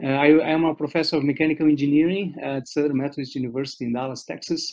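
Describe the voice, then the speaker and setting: With a Portuguese accent, a man talks very fast at a fairly high pitch, keeping his intonation fairly even. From Brazil. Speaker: professor. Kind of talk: lecture. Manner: halting.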